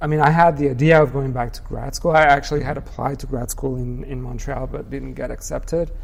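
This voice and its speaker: A man with a fairly high voice speaks at a moderate pace amid audible room echo and noticeable background noise. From Mexico. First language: Spanish. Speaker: artist. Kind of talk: interview conversation. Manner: hesitant, many fillers.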